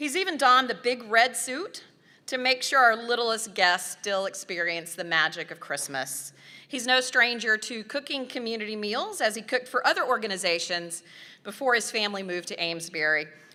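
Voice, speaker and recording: A woman with a Southern US accent speaks at a moderate pace in a fairly high, bright, sharp voice whose pitch swings very widely. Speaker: nonprofit staff member presenting volunteer awards. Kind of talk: award presentation speech.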